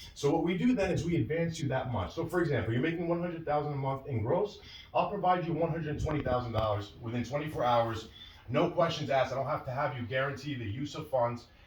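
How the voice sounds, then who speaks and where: A man with an American accent and a fairly high pitch talks at a very fast pace with ordinary pitch variation, amid noticeable background noise and audible room echo. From New York. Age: 20s. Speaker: merchant cash advance business owner. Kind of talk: interview. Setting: video call.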